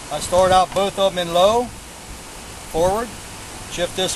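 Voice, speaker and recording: A high-pitched man's voice with fairly even intonation over noticeable background noise. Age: 70s. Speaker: hobbyist tractor builder. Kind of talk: equipment demonstration. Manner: casual, halting.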